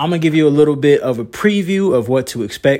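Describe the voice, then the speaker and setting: Energetic in tone, a man with a Southern US accent talks at a fairly quick pace with lively intonation. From North Carolina, Moore County. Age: 20s. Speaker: podcaster and singer. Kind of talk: solo podcast monologue.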